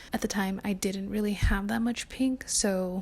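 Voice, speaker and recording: A woman whispers in a somewhat breathy way. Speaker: lifestyle vlogger. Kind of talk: casual chat. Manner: whispering.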